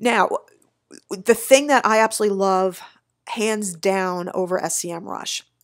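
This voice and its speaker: On a very clean recording with a silent background, a woman talks in a plain, everyday voice at medium pitch with ordinary pitch variation. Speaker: SEO agency owner. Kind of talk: screen-share tutorial. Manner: casual, upbeat.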